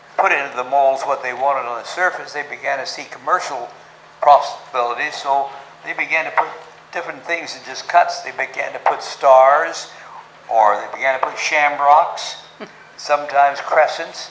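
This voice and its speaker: Over noticeable background noise, a man talks at a moderate pace with a fairly high pitch. His pitch variation is ordinary, and his loudness swings widely. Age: 80s+; old. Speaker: story-teller. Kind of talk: talk to a club audience about golf history.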